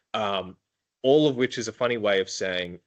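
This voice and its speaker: Ordinary pitch variation comes through in an Australian accent. All around, the background stays quiet. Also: man. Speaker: prosecutor. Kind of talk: interview conversation. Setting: podcast. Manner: hesitant, many filler ums.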